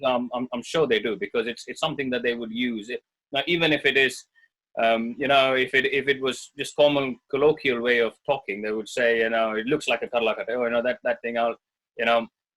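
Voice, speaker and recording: A man with a Tamil accent talks at a fairly quick pace in a medium pitch. His intonation is fairly even, and the sound is dry and close with no echo. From India, Bangalore. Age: 30s. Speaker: Indian clubs practitioner. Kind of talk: interview.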